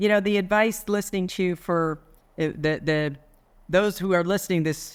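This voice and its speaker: A woman speaks with an American accent in an ordinary speaking voice, fairly low in pitch, with ordinary pitch variation. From New York. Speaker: business executive. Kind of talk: interview conversation.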